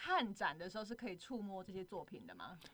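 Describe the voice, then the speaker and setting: A woman's medium-pitched voice with lively intonation, a plain, everyday voice. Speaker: assistant radio host. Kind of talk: casual chat.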